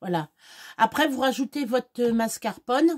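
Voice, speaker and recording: Recorded dry and close with no echo, a woman talks fairly slowly at a fairly high pitch. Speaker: home cook vlogger. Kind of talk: cooking tutorial. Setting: home kitchen. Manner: casual, hesitant.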